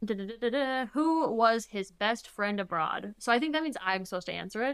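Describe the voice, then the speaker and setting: An unremarkable speaking voice from a woman, fairly high in pitch, with lively intonation at a moderate pace. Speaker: podcast co-host. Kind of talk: casual chat.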